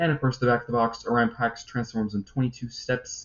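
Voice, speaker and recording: A somewhat breathy man speaks at medium pitch with fairly even intonation. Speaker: toy review youtuber. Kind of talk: casual news commentary video. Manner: fast; hesitant, many fillers.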